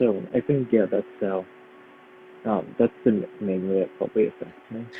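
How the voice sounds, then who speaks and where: A man with an American accent talks at a moderate pace in a fairly low pitch. His intonation is lively, with noticeable background noise behind him. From Brooklyn, New York. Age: 20s. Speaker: violinist and composer, conservatory student. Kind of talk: interview. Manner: hesitant, many fillers.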